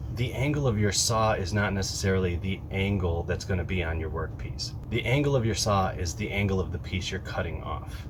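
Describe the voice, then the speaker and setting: Against noticeable background noise, a man with a fairly low pitch talks at a fairly quick pace with lively intonation. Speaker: woodworking youtuber. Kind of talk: tutorial. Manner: fast.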